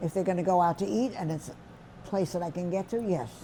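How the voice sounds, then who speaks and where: Somewhat breathy, a woman with a New York accent speaks at a fairly low pitch in a dark, mellow tone. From New York City, the Bronx. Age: 80s+. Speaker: centenarian interviewee. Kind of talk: life story interview.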